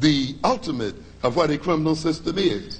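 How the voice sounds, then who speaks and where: A man with an American accent at a fairly slow pace, in audible room echo. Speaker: psychologist and lecturer. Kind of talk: lecture.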